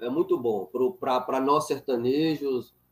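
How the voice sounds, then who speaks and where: The clip features an unremarkable speaking voice moving at a fairly slow pace. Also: man. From northern Minas Gerais, Brazil (Montes Claros). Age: 40s. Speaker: philosophy professor, channel host. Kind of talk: casual chat, interview.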